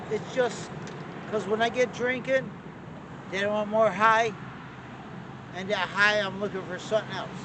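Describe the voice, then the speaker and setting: Over noticeable background noise, a man with an American accent uses a raised, projected voice at a high pitch, speaking at a moderate pace in a monotone, flat intonation with long, frequent pauses. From Connecticut, Torrington. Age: 60s. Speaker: person struggling with addiction. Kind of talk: interview.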